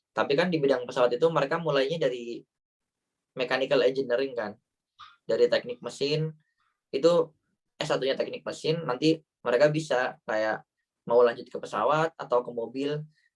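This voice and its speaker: With a Banyumas accent, a man speaks at a fairly quick pace and fairly high pitch, using ordinary pitch variation and long, frequent pauses. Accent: Ngapak (Banyumas Javanese). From Central Java, Banyumas area. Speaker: Indonesian living in Germany, talk show guest. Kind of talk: online talk show Q&A. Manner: casual, hesitant with fillers.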